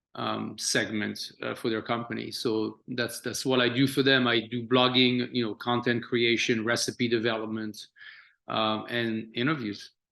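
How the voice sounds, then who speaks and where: A man with a French accent speaks at a fairly slow pace and a medium pitch, his tone bright and sharp. His intonation stays flat and monotone against a quiet background. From France. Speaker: chef. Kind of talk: interview. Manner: halting, many fillers.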